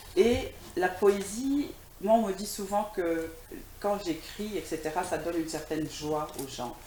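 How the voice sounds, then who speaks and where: A woman at medium pitch, fairly slow pace and lively intonation, long, frequent pauses, audible room echo and noticeable background noise. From DR Congo, Kinshasa. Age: 60s. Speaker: writer and poet. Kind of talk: TV interview. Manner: hesitant, many fillers.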